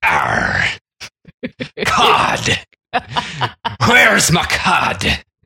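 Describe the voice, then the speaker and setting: In a put-on character voice, a man sounds high-pitched and raspy. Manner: playful, exaggerated.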